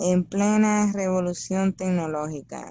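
Speaking with a Dominican accent, a woman goes at a very slow pace with a medium pitch and fairly even intonation. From Dominican Republic. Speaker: podcast co-host. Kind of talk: casual chat.

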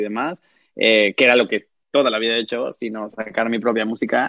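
The man's pitch sits in the medium range. He talks at a moderate pace. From Cancún, Mexico. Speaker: drag performer. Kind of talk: interview.

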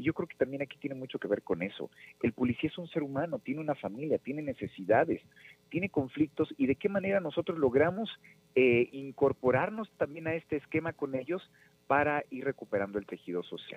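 A man with a plain, everyday voice speaks at a fairly high pitch and a fairly quick pace, using lively intonation. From Mexico, Nezahualcóyotl (State of Mexico). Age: 30s. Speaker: political candidate. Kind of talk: radio interview. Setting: phone call.

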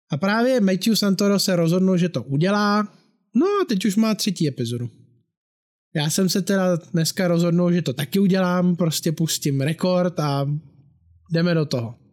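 A man with a high pitch, ordinary pitch variation and very even loudness at a moderate pace, on a very clean recording with a silent background. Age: 30s. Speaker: musician and podcast host. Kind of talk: casual monologue. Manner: talkative.

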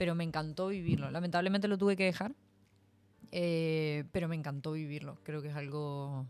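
A very deep, low female voice at a fairly quick pace. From Argentina, Mendoza. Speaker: guest. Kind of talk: casual chat.

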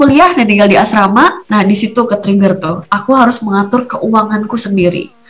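A woman talks at a fairly quick pace in a fairly high pitch. Noticeable background noise runs underneath. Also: hardly any pauses. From Surabaya, Indonesia. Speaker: podcast host, homemaker and entrepreneur. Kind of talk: casual monologue chat.

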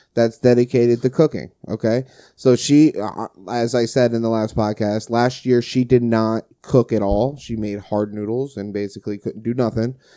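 In a very clean recording with a silent background and dry, close sound with no echo, a man with a New Jersey accent and a dark, mellow tone speaks at medium pitch and a moderate pace in a monotone with flat intonation. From New Jersey, Brick Township. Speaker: podcast host, HVAC technician. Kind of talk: casual chat.

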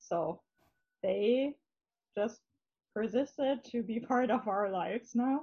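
In a German accent, the speaker moves at a very slow pace with long, frequent pauses and ordinary pitch variation. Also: woman, fairly high pitch for a woman. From northern Germany, Hamburg area. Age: 30s. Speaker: interviewee, married convert. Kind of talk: testimony. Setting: video call.

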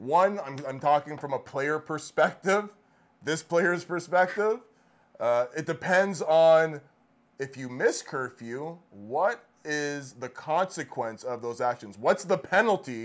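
A man speaks at a very slow pace. His voice is fairly high, with lively intonation. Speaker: podcast co-host. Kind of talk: casual chat, joking banter.

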